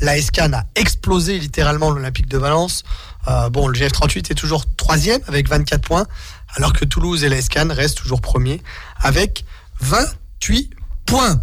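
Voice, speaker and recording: A man at a fairly slow pace, his loudness very even, over noticeable background noise. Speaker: radio host. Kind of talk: sports radio show. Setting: radio studio.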